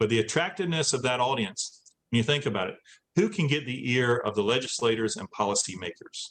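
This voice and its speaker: In a normal speaking voice, a man of medium pitch talks at a fairly quick pace with lively intonation. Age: 60s. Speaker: former inmate and adult education instructor. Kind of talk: Q&A after a talk.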